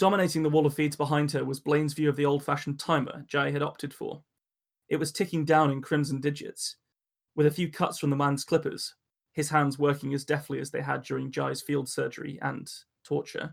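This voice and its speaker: In an English accent, a man speaks at a fairly quick pace with a fairly high pitch and monotone, flat intonation. The recording is very clean, with a silent background. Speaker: podcast host and storyteller. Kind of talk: casual chat and story reading.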